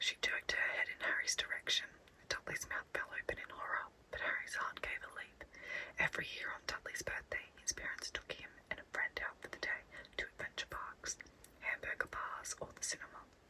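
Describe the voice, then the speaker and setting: A woman whispers in an Australian accent at a fairly quick pace. Noticeable background noise runs underneath. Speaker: ASMR artist. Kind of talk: bedtime story reading. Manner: whispered.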